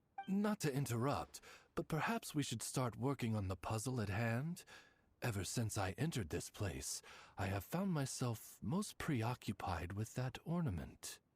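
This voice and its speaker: A put-on character voice at a moderate pace, in a very clean recording with a silent background. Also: man, medium pitch for a man. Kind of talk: formal butler-like address. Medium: video game. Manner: polite, measured, courtly.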